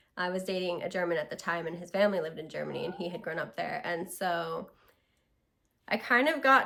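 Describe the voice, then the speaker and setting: A woman speaks at a fairly quick pace and a medium pitch on a very clean recording with a silent background. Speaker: vlogger. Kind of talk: casual vlog monologue. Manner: casual, filler-heavy.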